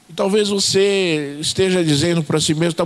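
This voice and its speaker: A man talks at a moderate pace in a high voice with ordinary pitch variation, while noticeable background noise runs underneath. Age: 60s. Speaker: pastor. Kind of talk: sermon. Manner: hesitant, frequent fillers.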